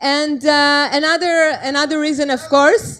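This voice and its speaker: The speaker has an Israeli accent and a fairly slow pace. The background is quiet. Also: woman. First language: Hebrew. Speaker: food journalist and vegan activist speaker. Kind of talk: talk at a festival. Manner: halting, many fillers.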